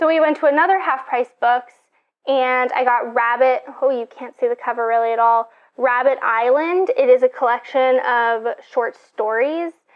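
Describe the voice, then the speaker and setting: Against a quiet background, a woman speaks at a moderate pace with a high pitch. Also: ordinary pitch variation. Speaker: book vlogger. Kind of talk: casual vlog chat. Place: home room. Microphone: lapel.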